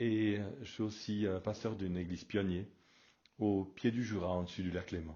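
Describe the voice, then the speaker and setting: A man with a plain, everyday voice, fairly low pitch, fairly even intonation and a moderate pace. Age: 60s. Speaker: pastor. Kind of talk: radio sermon. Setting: radio broadcast.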